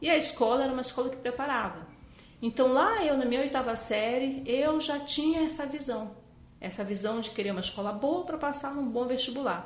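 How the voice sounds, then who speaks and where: Recorded with audible room echo and noticeable background noise, a woman speaks fairly quickly at a high pitch with ordinary pitch variation. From Brazil, Amazonas (Manaus). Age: 50s. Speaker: physician. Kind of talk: interview.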